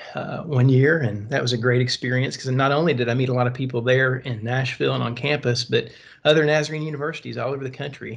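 A somewhat breathy man at medium pitch with a Southern US accent, fairly even intonation and a fairly quick pace. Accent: Southern American. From US South, Tennessee. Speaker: pastor. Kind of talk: casual chat. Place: home room. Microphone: video call.

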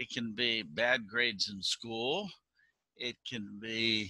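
A man talks at a very slow pace in a bright, sharp tone, the sound dry with no echo and the background quiet. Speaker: pastor giving children's message. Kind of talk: sermon. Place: home room. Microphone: video call.

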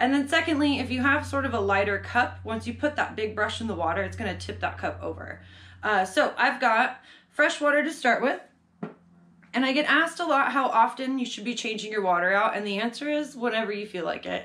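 A woman's fairly quick speech with vocal fry over a quiet background. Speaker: art teacher. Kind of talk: tutorial. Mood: calm, friendly. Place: home room. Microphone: camera far.

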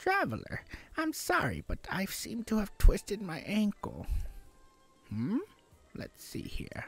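A man speaks in a put-on character voice, high-pitched, at a fairly slow pace with long, frequent pauses, as faint music plays in the background. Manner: polite, reverent.

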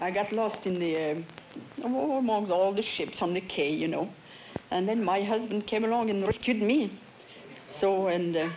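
A woman with a French accent talks at a moderate pace and a medium pitch, with ordinary pitch variation. She leaves long, frequent pauses over light background noise. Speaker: quiz show contestant. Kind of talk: game show banter. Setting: studio with audience. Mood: amused, chatty storytelling. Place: studio. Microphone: studio mic.

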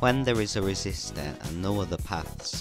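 A quiet man at a moderate pace with lively intonation, music playing in the background. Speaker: tech tutorial creator. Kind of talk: educational tutorial narration. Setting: poor microphone.

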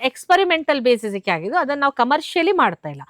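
Her pitch swinging very widely, a woman is heard in a very clean recording with a silent background and a dry, close sound with no echo. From coastal Karnataka, Kundapura taluk. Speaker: farmer. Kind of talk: interview.

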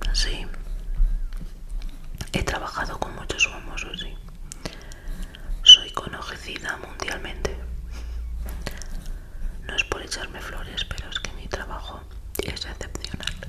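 A woman whispers at a very slow pace. She leaves long, frequent pauses. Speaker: ASMR creator playing a seamstress. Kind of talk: ASMR roleplay, whispered measuring and tailoring. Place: home room. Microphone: studio mic.

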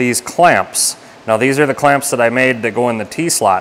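A man talks at a moderate pace. Light background noise is present. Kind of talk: tutorial. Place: workshop. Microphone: phone near.

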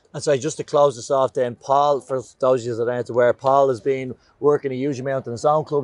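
A man speaks at a fairly quick pace with fairly even intonation. The sound is dry, with no echo. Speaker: sports coach. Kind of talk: coaching workshop talk. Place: open country.

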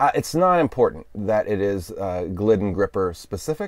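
A man's normal speaking voice, fairly low in pitch and fairly slow in pace, dry with no echo, over a quiet background. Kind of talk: tutorial. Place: car. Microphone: lapel.

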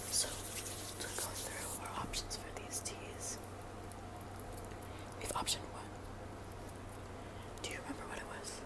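Loud background noise runs through the clip. A woman speaks at a fairly slow pace with long, frequent pauses. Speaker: ASMR creator. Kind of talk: ASMR roleplay, soft spoken. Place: home room. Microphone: earbuds.

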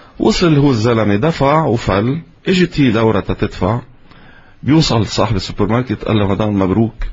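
The delivery is somewhat breathy, with lively intonation. The pace is moderate. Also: man. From Lebanon. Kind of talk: interview. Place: studio. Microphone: studio mic.

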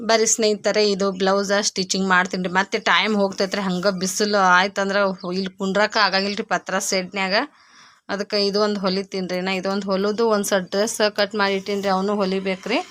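A woman talks in a monotone, flat intonation at a medium pitch, captured in a very clean recording with a silent background. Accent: North Karnataka. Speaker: village vlogger and tailor. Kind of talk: casual vlog narration.

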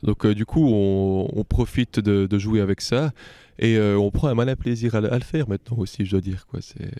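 Fairly quick and fairly low-pitched, a man speaks with a dark, mellow tone and ordinary pitch variation. The sound is dry with no echo, over a quiet background. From French-speaking Switzerland. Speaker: metal band member. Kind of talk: band interview. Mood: relaxed, happy. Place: hall. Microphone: handheld.

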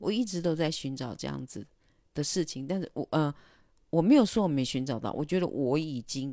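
A woman with a very deep, low pitch and a dark, mellow tone speaks at a moderate pace with lively intonation, in a dry sound with no echo over a quiet background. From Taiwan. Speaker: illustrator and livestreamer; livestreamer. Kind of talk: casual livestream monologue. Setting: livestream. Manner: hesitant, many filler sounds. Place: home room. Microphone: handheld.

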